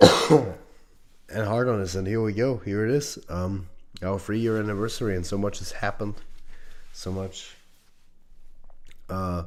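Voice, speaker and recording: With audible room echo, a man at a fairly low pitch speaks at a moderate pace with ordinary pitch variation and long, frequent pauses. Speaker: fan film producer. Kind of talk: live stream chat. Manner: casual, hesitant with fillers.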